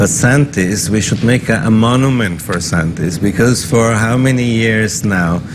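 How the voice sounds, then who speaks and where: Audible room echo and noticeable background noise surround a man speaking at a fairly low pitch. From German-speaking northern Italy. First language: German dialect. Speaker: business chamber executive director. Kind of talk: interview.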